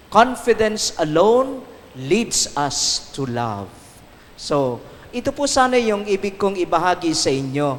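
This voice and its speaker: A man speaks at a fairly slow pace and high pitch, with very wide pitch swings. Noticeable background noise runs behind him. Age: 60s. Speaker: priest. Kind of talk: recollection talk. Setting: shrine with audience.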